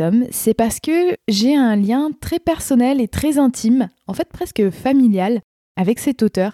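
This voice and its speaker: A woman with a high voice and a dark, mellow tone speaks at a fairly slow pace, her pitch swinging very widely, in a dry, close sound with no echo. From France, Rhône-Alpes region. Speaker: podcast host and aspiring novelist. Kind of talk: casual book-review monologue.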